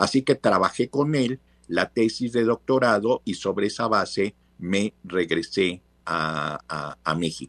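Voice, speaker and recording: A very clean recording with a silent background, dry and close with no echo, lively intonation and a very slow pace. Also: man, fairly low pitch for a man. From Mexico, Veracruz. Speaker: professor. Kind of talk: interview.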